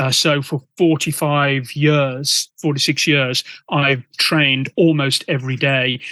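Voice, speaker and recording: This man's fairly high voice has a bright, sharp tone and monotone, flat intonation at a very slow pace. The sound is dry and close with no echo, over a quiet background. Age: 60s. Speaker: punk band vocalist. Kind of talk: interview conversation.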